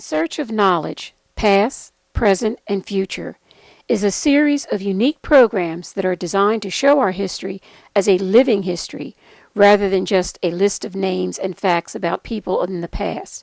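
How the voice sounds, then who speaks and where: Lively in intonation and moderate in pace, a normal speaking voice comes through a dry, close sound with no echo. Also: woman, medium pitch for a woman. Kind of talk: program introduction narration.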